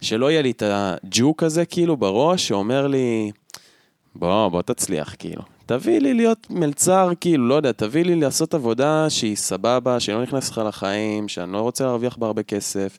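Lively intonation marks a man's medium-pitched speech, a plain, everyday voice at a fairly quick pace. The recording is very clean with a silent background, the sound dry and close with no echo. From central Israel. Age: 20s. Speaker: podcast co-host. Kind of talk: casual chat. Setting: at co-host's home.

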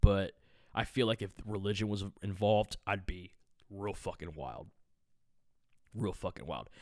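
With vocal fry and ordinary pitch variation, the speaker talks at a fairly slow pace, leaving long, frequent pauses while the loudness swings widely. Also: man, fairly low pitch for a man. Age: 30s. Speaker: podcast host and musician. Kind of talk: casual solo podcast monologue. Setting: home podcast recording. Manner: rambling, profane, casual.

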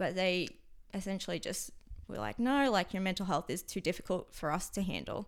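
Her voice at medium pitch with vocal fry and ordinary pitch variation, a woman talks at a fairly quick pace on a very clean recording with a silent background. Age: 20s. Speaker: meditation teacher, former ski aerialist. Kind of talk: casual conversation interview.

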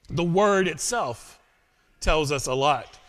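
With an American accent and lively intonation, a man speaks on a very clean recording with a silent background. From United States. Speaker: pastor. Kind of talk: sermon.

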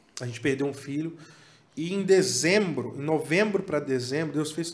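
This is an unremarkable speaking voice at a fairly quick pace. Its pitch variation is ordinary. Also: man. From Tocantins, Brazil (Palmas). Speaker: worship musician. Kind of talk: casual chat.

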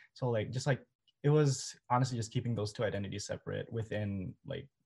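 Speaking at a fairly quick pace, a man with an American accent has a medium-pitched, somewhat breathy voice. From Twin Cities, Minnesota, US. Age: 20s. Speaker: undergraduate student. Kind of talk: casual chat.

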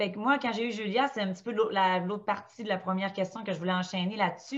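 Somewhat breathy and medium in pitch, a woman speaks at a moderate pace with fairly even intonation. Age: 30s. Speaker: stay-at-home mother of four. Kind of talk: casual chat.

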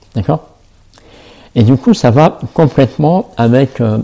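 A man's somewhat breathy voice with a dark, mellow tone, ordinary pitch variation and a very slow pace. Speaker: self-love coach and podcaster. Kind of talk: solo podcast monologue. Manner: halting, many fillers and repetitions.

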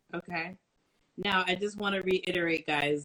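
Speech at a moderate pace in a New York accent. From Brooklyn, New York. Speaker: live stream interviewer. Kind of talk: casual live interview. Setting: online live stream.

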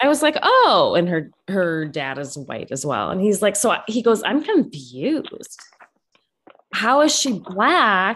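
A woman speaks at a fairly slow pace with vocal fry. Her medium pitch makes very wide swings. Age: 30s. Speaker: podcast co-host, mother. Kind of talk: casual chat.

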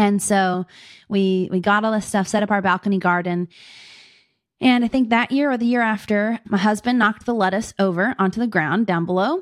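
A woman with an American accent speaks fairly quickly in an ordinary speaking voice at a medium pitch, with ordinary pitch variation and very even loudness. The recording is very clean and dry, close with no echo and a silent background. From Pittsburgh, Pennsylvania. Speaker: suburban homesteader and beekeeper. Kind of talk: interview.

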